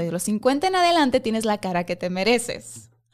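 Speaking at a moderate pace with a Mexican accent, a woman uses a medium pitch on a very clean recording with a silent background. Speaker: face-reading coach. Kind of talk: casual chat.

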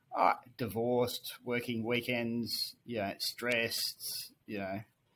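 In an Australian accent, a man talks at a medium pitch with ordinary pitch variation, captured on a very clean recording with a silent background. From rural New South Wales, Australia. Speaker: finance executive. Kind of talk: casual interview.

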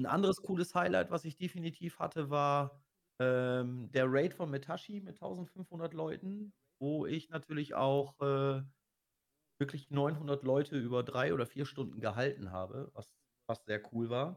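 A man with an unremarkable speaking voice, fairly high in pitch, lively in intonation and fairly slow in pace. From Lower Saxony, Osnabrück. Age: 40s. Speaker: streamer. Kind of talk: casual interview.

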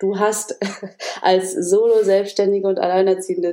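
Speaking at a medium pitch, a woman takes a fairly slow pace. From northern Germany, Oldenburg area. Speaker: business coach and communication trainer. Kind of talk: casual interview.

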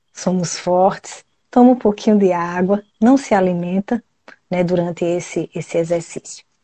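A woman's ordinary speaking voice at medium pitch, at a fairly slow pace with ordinary pitch variation. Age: 40s. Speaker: family constellation therapist. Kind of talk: live stream chat; guided meditation.

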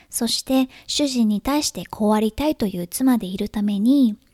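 On a very clean recording with a silent background, a woman speaks at a fairly high pitch, somewhat breathy, with ordinary pitch variation. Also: dry, close sound with no echo. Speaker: podcast host, writer and mother. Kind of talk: casual solo podcast talk.

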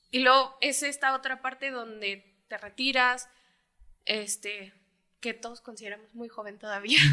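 A woman speaks at a high pitch in a bright, sharp tone. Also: fairly even intonation, big swings in loudness. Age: 20s. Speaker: footballer's daughter. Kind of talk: casual family chat.

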